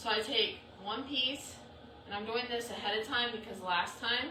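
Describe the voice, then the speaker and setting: Audible room echo and noticeable background noise surround a woman speaking in a fairly high pitch. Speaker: crafter running a subscription box. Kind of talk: live craft tutorial. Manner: casual, chatty.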